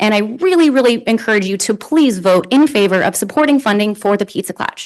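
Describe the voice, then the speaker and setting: Noticeable background noise runs under a woman's voice. She talks at a fairly quick pace with lively intonation. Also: fairly high pitch for a woman. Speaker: public commenter. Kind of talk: public comment. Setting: city council meeting. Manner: fast.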